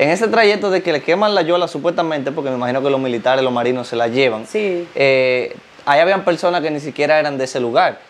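With light background noise, a man talks at a very fast pace in a fairly high pitch with lively intonation. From Dominican Republic. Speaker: YouTube interviewer. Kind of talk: interview. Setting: guest's home. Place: home room. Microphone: lapel.

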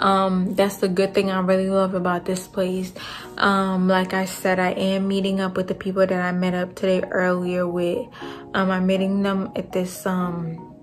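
Faint music plays behind a woman who speaks at a moderate pace with flat, monotone intonation. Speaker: travel vlogger. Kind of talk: casual vlog chat. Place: home room. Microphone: phone near.

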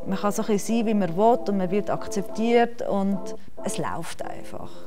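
Over clear background music, a woman speaks at a moderate pace with ordinary pitch variation. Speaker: secondary school teacher. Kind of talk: interview answer. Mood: warm, relaxed, positive. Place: hall.

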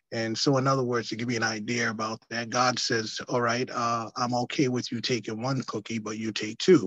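Against a quiet background, a man speaks in a monotone, flat intonation with hardly any pauses. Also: medium pitch for a man, fairly quick pace, dry sound with no echo. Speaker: pastor. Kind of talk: preacher's encouragement and short teaching; Bible study remarks. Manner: casual, fluent, many fillers. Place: office. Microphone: video call.

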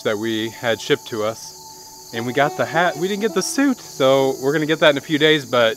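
Lively in his intonation, a man speaks in a dry sound with no echo over light background noise. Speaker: homesteading vlogger. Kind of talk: casual vlog chat. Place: open country.

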